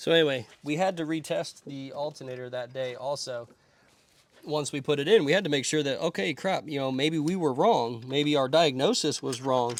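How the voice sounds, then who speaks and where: This man talks at a moderate pace, with a fairly high pitch and ordinary pitch variation. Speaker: mobile mechanic. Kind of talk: casual rant while working. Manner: rambling, going in circles.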